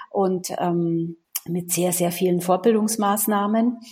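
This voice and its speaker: A woman of medium pitch sounds somewhat breathy, keeping her intonation fairly even. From Munich, Bavaria. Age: 40s. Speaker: sales and HR consultant. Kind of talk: interview.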